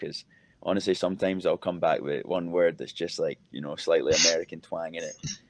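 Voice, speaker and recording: With a strong Scottish accent, a man talks at a fairly quick pace against a quiet background. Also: dry, close sound with no echo. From Scotland, Edinburgh. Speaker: college footballer. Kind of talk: interview.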